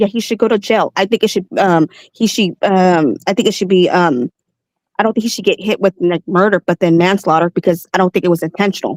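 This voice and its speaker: At a fairly quick pace, a woman speaks with a medium pitch, ordinary pitch variation and very even loudness, in a dry, close sound with no echo. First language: not English. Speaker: caller. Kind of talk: heated debate.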